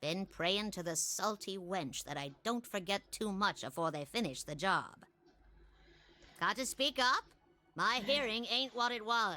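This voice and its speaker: A put-on character voice with lively intonation at a moderate pace, faint music in the background. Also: woman, medium pitch for a woman. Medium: actual play.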